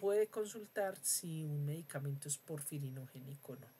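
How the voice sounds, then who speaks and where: A somewhat breathy woman's voice at a moderate pace, with ordinary pitch variation. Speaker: university lecturer. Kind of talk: lecture. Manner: hesitant with fillers.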